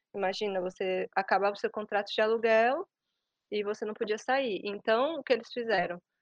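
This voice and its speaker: Against a quiet background, a woman with fairly high pitch and ordinary pitch variation speaks at a moderate pace in a dry, close sound with no echo. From Brazil. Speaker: Brazilian expat interviewee. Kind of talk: interview. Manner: hesitant, many fillers.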